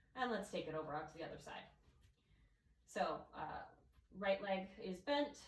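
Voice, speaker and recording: With audible room echo, a somewhat breathy woman of medium pitch speaks at a moderate pace, her lively intonation marked by big swings in loudness and long, frequent pauses. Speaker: yoga instructor. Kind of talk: guided yoga class. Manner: calm, instructive.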